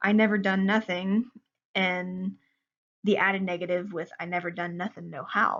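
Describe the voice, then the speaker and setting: A woman's medium-pitched voice in an Ozark accent, fairly slow and monotone, with flat intonation. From Ozarks region, USA. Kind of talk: class presentation.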